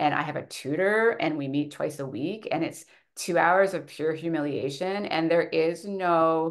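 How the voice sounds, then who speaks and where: A woman talks at a fairly slow pace in a normal speaking voice, fairly low in pitch with ordinary variation, over a quiet background. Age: 40s. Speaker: author, political scientist. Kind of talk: webinar interview.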